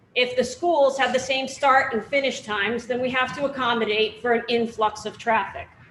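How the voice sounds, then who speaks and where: At a moderate pace, a woman with a high pitch speaks loudly with ordinary pitch variation. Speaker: police chief. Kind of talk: public meeting answer. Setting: public forum with microphone.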